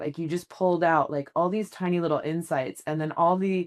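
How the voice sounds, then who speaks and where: An animated tone at a fairly quick pace against a quiet background. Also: woman. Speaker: podcast host and business strategist. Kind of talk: casual interview chat. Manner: fast.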